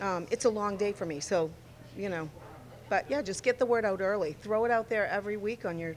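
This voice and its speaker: At a fairly quick pace, a woman talks in an ordinary speaking voice of medium pitch with ordinary pitch variation. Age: 60s. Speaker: amateur bowler. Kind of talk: casual interview.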